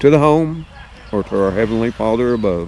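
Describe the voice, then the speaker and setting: A man speaks with an Alabama accent. There is noticeable background noise. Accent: Southern US (Alabama). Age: 60s. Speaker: YouTube vlogger. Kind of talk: casual vlog talk to viewers. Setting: outdoors on his property in the evening.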